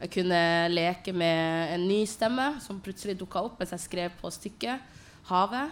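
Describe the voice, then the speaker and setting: Against a silent background on a very clean recording, a woman with a medium pitch and ordinary pitch variation speaks at a very slow pace. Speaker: poet and playwright. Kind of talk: panel presentation. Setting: stage with audience in a tent.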